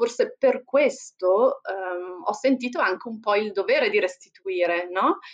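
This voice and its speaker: A woman at a very slow pace, with very wide pitch swings. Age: 40s. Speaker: entrepreneur and foundation founder. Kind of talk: interview conversation.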